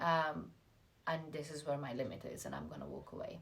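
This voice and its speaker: A woman speaks with an Iranian accent. Audible echo from the room surrounds her voice. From Iranian family, schooled in Russia and the UK. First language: Farsi. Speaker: lifestyle vlogger. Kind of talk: motivational talk to camera.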